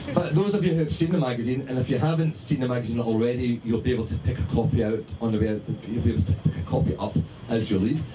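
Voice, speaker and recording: Over noticeable background noise, a man talks very fast at medium pitch with lively intonation and very even loudness. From Scotland. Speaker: magazine founder and editor. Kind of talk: speech to party audience. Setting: party with audience.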